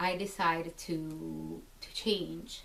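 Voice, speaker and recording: In a room with audible echo, a woman speaks very slowly at a fairly low pitch. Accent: Italian. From Italy, Naples. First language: Italian. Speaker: military spouse. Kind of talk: personal testimony. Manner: halting, many fillers.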